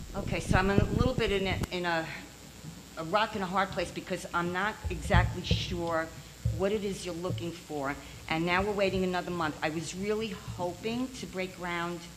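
The voice moves at a moderate pace with fairly even intonation, and audible room echo can be heard. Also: woman, fairly low pitch for a woman. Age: 70s. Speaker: property owner applying for variance. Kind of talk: public hearing testimony.

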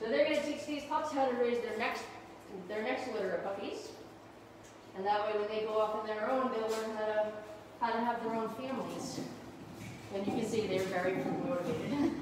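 A woman talks at a fairly quick pace with ordinary pitch variation. Noticeable background noise and strong room echo fill the recording. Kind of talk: informal educational commentary.

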